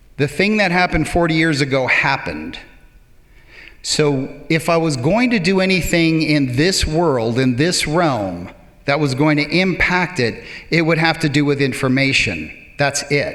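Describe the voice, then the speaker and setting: A plain, everyday voice from a man, fairly high in pitch, fairly slow, with ordinary pitch variation and very even loudness. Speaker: public speaker. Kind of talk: live stage talk. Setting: theater stage.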